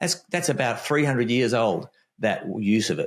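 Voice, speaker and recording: A man with an Australian accent. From Australia (Melbourne). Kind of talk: casual interview conversation.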